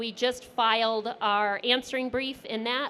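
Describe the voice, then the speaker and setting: Loud and bright with a sharp tone, a woman's fairly high voice holds fairly even intonation. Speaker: lawyer. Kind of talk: panel presentation.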